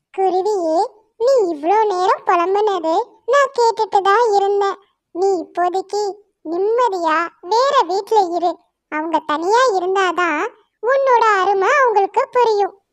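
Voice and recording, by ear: A cartoonish character voice with an extremely high pitch. The pace is very slow.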